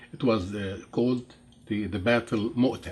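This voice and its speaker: Pitch moves with ordinary variation. There is a somewhat breathy quality to the voice. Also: man. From Jordan. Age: 70s. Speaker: interviewee telling life story. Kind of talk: interview. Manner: halting, many fillers.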